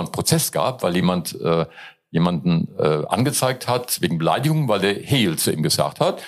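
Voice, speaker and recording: The speaker is a man with very wide pitch swings. He keeps a moderate pace. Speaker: comedian. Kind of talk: casual interview.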